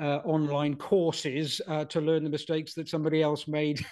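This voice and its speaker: A man in a south Wales accent holds a monotone, flat intonation at a fairly high pitch and a moderate pace. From Wales, Pontypool. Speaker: retired broadcast journalist. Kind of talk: interview conversation.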